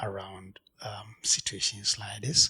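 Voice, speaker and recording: A soft-spoken man talks in a bright, sharp tone with monotone, flat intonation. The recording is very clean, with a silent background. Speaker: artist. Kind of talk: gallery talk. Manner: halting.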